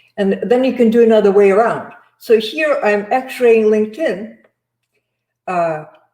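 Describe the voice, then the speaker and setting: A woman with a dark, mellow tone talks at a fairly slow pace with long, frequent pauses, and audible room echo surrounds her voice. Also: ordinary pitch variation, quiet background. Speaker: sourcing trainer presenting to recruiters. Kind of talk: live webinar presentation. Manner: halting, many fillers. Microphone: video call.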